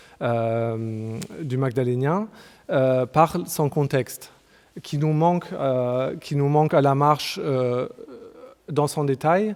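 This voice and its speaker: At a very slow pace broken by long, frequent pauses, a man speaks with a fairly high pitch and ordinary pitch variation. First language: German (speaking French). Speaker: archaeologist. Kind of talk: conference talk. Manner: halting, many hesitations.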